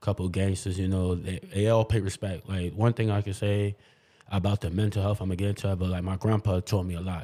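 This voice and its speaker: A man with a New York accent talks at a very fast pace in a dark, mellow tone with flat, monotone intonation. The recording is very clean, with a silent background. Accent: New York City. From New York City, Queens. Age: 30s. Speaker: clubhouse member, shooting survivor. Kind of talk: interview. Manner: casual.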